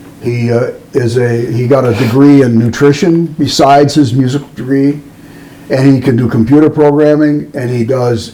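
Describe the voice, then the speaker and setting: Noticeable background noise is present throughout. The man speaking keeps fairly even intonation. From US Midwest, Chicago area. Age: 70s. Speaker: musician and record producer. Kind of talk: casual interview chat.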